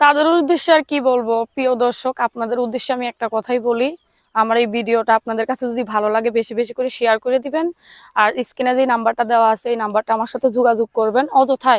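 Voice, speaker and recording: Her high-pitched voice, a woman's, keeps a fairly even intonation. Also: dry, close sound with no echo, very clean recording, silent background. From Bangladesh, Tangail. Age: 19. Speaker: domestic worker seeking a marriage partner. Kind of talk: interview.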